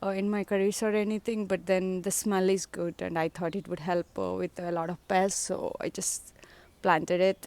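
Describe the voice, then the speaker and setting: Recorded very cleanly against a silent background, a woman with a Telugu accent speaks at a medium pitch with fairly even intonation. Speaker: home gardener vlogger. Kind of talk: casual garden tour. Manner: hesitant, many fillers.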